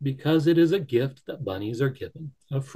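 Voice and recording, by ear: Someone is reading aloud in a natural voice. The pitch variation is ordinary.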